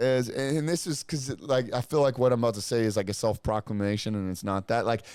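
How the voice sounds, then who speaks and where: Over a very clean recording with a silent background, a man speaks at a fairly quick pace with hardly any pauses. His medium-pitched voice has an animated tone and ordinary pitch variation. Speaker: podcast co-host. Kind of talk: casual chat. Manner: loud.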